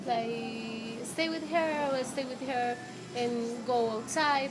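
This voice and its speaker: With a Colombian accent, a woman speaks high in pitch with fairly even intonation, amid audible room echo and noticeable background noise. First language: Spanish. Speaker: former au pair. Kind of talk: interview. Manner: halting.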